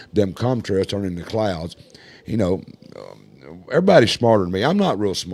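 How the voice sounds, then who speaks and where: Here a man talks at a moderate pace at a fairly low pitch, with lively intonation. He has a plain, everyday voice. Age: 60s. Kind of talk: casual chat. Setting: studio. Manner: casual, folksy.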